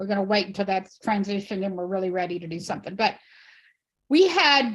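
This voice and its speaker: A woman speaks with ordinary pitch variation. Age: 60s. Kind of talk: panel discussion. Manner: halting.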